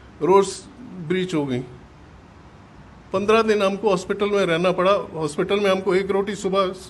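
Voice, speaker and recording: A man's voice at a high pitch with ordinary pitch variation. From Punjab, Pakistan. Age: 80s+. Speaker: partition survivor. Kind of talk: testimony. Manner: halting.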